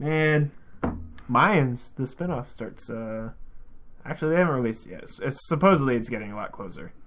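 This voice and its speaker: A man with an ordinary speaking voice talks at a fairly quick pace and medium pitch. His intonation is lively, and his loudness swings widely. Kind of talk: casual chat. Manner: joking, banter-heavy.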